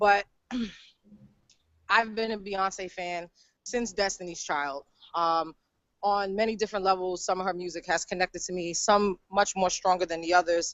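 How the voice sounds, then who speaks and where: A woman talks at medium pitch with fairly even intonation. She takes long, frequent pauses. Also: moderate pace. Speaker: law enforcement worker and aspiring filmmaker. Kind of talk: group discussion introduction. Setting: video call. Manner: loud.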